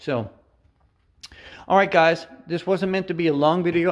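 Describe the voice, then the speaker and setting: A male speaker on a very clean recording, the background completely silent. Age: 60s. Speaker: truck mechanic and driver youtuber. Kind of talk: casual video tutorial. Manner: halting, many fillers.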